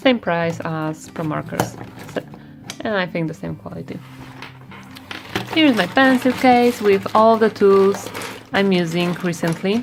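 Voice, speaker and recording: Over background music, a woman with a non-native accent speaks at a fairly slow pace, with long, frequent pauses. Her medium pitch carries lively intonation and big swings in loudness. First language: not English. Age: 20s. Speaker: artist / illustrator. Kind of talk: casual video tour. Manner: halting, many fillers.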